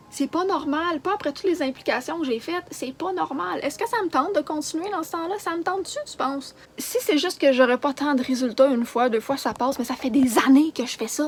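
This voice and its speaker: Over noticeable background noise, a high-pitched woman talks at a fairly quick pace with lively intonation and hardly any pauses. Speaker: charity organizer vlogger. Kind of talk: emotional rant vlog. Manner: agitated.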